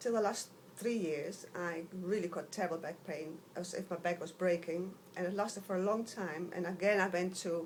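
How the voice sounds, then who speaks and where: A woman talks at a moderate pace in a medium pitch. Her intonation stays fairly even. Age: 60s. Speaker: patient. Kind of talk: testimony. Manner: halting.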